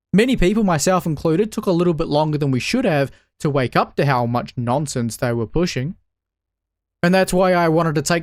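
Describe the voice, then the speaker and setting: A man speaks at a fairly quick pace with lively intonation and very even loudness, in a New Zealand accent. The recording is very clean, with a silent background. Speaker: political commentator. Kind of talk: political commentary monologue.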